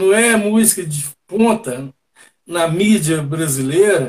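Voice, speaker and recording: A man with lively intonation. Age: 60s. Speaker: reggae musician. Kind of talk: casual interview. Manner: hesitant, repetitive fillers.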